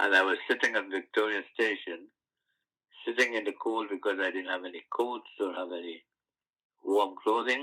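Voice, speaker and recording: Here a man speaks with a bright, sharp tone and a fairly low pitch. His intonation is fairly even, and he takes long, frequent pauses. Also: moderate pace. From Guyana. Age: 80s+. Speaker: activist. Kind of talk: interview.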